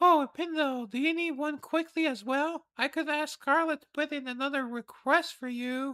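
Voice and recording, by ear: A high-pitched, put-on character voice moves at a moderate pace with hardly any pauses. The recording is very clean, with a silent background.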